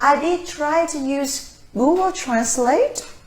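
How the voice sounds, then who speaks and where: A woman talks with ordinary pitch variation while noticeable noise runs behind her. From Vietnam. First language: Vietnamese. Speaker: language-learning coach and mother. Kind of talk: casual talk to camera. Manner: hesitant, with fillers.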